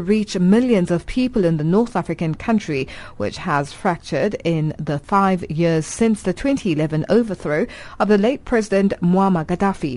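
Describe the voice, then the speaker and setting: The tone is dark and mellow. Intonation is lively and the pace moderate. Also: woman. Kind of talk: radio newsreading, live broadcast bulletin intro. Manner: formal, measured, clear broadcast delivery.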